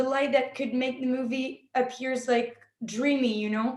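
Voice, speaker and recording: A woman with a French accent, high-pitched and monotone, her intonation flat. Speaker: film director and actress. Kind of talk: interview. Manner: halting.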